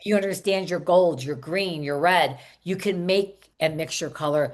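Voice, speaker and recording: A woman talks in a normal speaking voice at a moderate pace. Her pitch is fairly low with ordinary variation. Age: 60s. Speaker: salon coach and hairstylist. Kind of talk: podcast interview.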